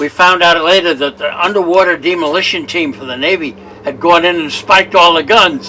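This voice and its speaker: With noticeable background noise behind him, a man speaks at a moderate pace with a fairly high pitch and ordinary pitch variation. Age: 90s. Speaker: war veteran. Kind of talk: interview.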